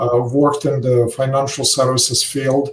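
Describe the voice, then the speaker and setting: A man with a Russian accent, fairly high-pitched, at a moderate pace. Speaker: financial services founder, retirement account expert. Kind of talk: podcast interview. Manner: many filler hesitations.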